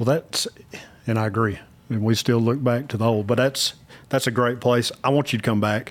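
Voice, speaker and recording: A man with a normal speaking voice and an American accent, medium pitch, fairly even intonation and a moderate pace. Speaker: podcast host. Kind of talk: casual interview conversation.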